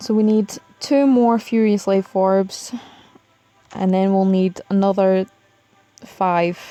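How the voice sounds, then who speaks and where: A woman with a Scottish accent speaks at a very slow pace, with long, frequent pauses. Her medium pitch keeps fairly even intonation, and her loudness stays very even. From Scotland. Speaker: mobile game live streamer. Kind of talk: casual live stream commentary. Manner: casual, hesitant with fillers.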